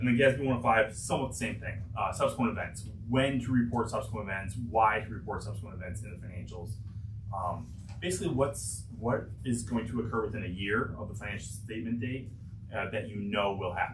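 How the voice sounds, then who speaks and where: There is noticeable background noise and audible room echo as a man with a fairly low voice speaks at a fairly quick pace with fairly even intonation. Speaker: auditor presenting financial statements. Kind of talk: board meeting presentation. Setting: public board meeting. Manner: fast.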